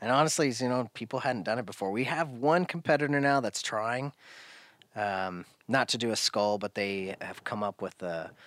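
With an American accent, a man has an unremarkable speaking voice at a medium pitch, with ordinary pitch variation and a moderate pace, in a dry, close sound with no echo on a very clean recording with a silent background. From US Pacific Northwest, Oregon coast. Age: 40s. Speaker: firearms parts business owner. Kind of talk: casual interview. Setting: his garage workshop.

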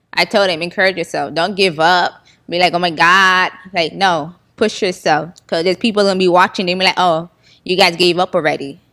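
A woman's fairly low-pitched voice with a bright, sharp tone and a Haitian-American Florida accent, fairly quick and fairly even in intonation, on a very clean recording with a silent background. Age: 20s. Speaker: comedy video maker and nonprofit founder. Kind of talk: interview.

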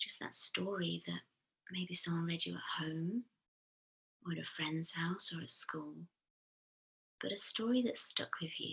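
With a soothing tone, a woman speaks at a fairly slow pace, leaving long, frequent pauses. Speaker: therapist and podcast host. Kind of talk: guided meditation. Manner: slow, soothing.

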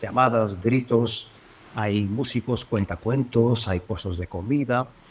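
A man speaks in a plain, everyday voice. His pace is moderate and his intonation fairly even. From Bulgaria. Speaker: sound artist. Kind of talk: interview.

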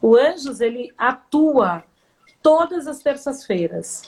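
This woman speaks in a high pitch with lively intonation. Her pace is very slow. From São Paulo, Brazil. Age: 50s. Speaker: volunteer NGO leader. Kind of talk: casual interview. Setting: Instagram live video call.

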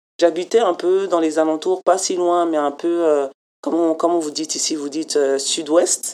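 Her dark, mellow voice sits at a fairly low pitch as the woman talks at a fairly slow pace with fairly even intonation. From France. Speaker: community program coordinator. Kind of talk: interview.

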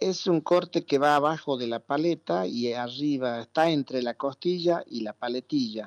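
With a plain, everyday voice, a man with fairly high pitch and ordinary pitch variation talks at a moderate pace with hardly any pauses against a quiet background. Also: dry, close sound with no echo. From Argentina. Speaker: ham producer. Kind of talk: interview.

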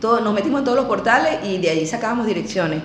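Lively intonation in a Venezuelan accent, with audible room echo and noticeable background noise. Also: woman. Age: 50s. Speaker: emigrant entrepreneur, former university lecturer. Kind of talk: interview.

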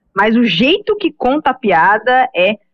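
A woman's high voice with very wide pitch swings. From Brazil, Goiânia (Goiás). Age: 20s. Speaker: digital marketing professional. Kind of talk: casual podcast discussion.

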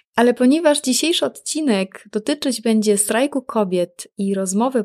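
With a normal speaking voice, a woman talks at a moderate pace in a fairly high pitch and with lively intonation, recorded very cleanly against a silent background with a dry, close sound and no echo. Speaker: podcast host. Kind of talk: scripted podcast intro.

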